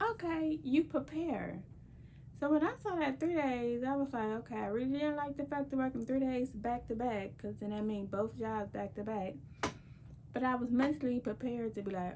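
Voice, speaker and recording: Soft-spoken and high-pitched, a woman talks at a moderate pace. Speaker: lifestyle vlogger. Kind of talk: casual vlog talk.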